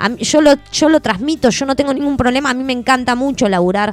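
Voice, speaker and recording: A woman speaks at a very fast pace. Her pitch variation is ordinary. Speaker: radio host. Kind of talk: live radio chat. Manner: animated.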